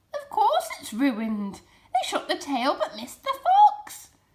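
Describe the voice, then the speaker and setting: A woman's put-on character voice, extremely high in pitch, with very wide pitch swings, big swings in loudness and a fairly slow pace. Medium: read story. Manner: curt, commanding.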